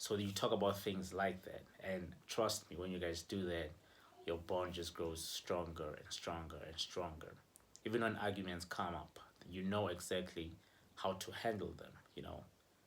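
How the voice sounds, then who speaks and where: A man speaks in a very deep, low voice at a moderate pace. His intonation is monotone and flat, with audible room echo. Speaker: relationship vlogger. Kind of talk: casual advice vlog. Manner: conversational, filler-heavy.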